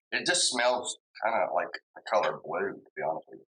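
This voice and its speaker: The dry, close sound with no echo carries a man speaking at a fairly quick pace. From US South, Kentucky/Tennessee area. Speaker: whiskey reviewer, bartender. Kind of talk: casual tasting review. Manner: casual, halting with repetitions.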